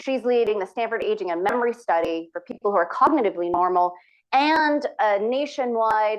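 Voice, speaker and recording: A woman's voice sits fairly high in pitch with lively intonation. She moves at a fairly quick pace. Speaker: physician researcher. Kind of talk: lecture. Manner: fast.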